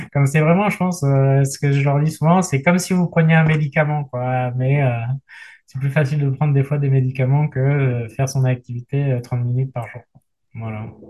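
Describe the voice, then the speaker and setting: A man with a fairly high, somewhat breathy voice speaks at a moderate pace in fairly even intonation. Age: 30s. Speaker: general practitioner and paratriathlete. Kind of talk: casual interview.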